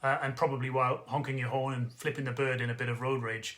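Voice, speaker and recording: With a Geordie accent, a man speaks at medium pitch and a fairly quick pace. His intonation is monotone and flat. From northeast England (Newcastle area). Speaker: travel industry consultant. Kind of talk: direct-to-camera business update. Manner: casual, conversational with filler words.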